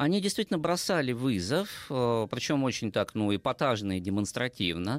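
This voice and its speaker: Recorded very cleanly in a silent background with a dry, close sound and no echo, a man speaks at a medium pitch. His pitch swings very widely as he moves at a moderate pace with hardly any pauses. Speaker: philosophy lecturer. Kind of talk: educational talk.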